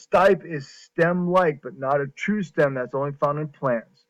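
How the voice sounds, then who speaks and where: A man with a fairly high pitch speaks at a moderate pace in an unremarkable speaking voice, the sound dry and close with no echo. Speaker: high school biology teacher. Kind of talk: recorded lecture screencast.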